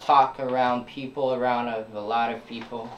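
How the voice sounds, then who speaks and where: A man with fairly even intonation, against noticeable background noise and audible room echo. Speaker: young musician. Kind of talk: interview. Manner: halting.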